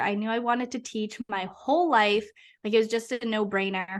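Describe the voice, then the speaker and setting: With an American accent, a woman speaks in a normal speaking voice at a moderate pace. Her pitch is fairly high with ordinary variation, and the background is quiet. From Massachusetts. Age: 20s. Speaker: hypnotherapist. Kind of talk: podcast interview. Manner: casual, lots of fillers.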